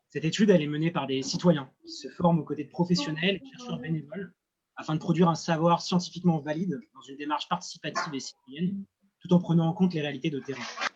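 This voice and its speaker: A man speaks in a high pitch. His pace is very fast. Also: ordinary pitch variation, big swings in loudness. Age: 20s. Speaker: student and association founder. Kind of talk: project presentation. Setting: at sea.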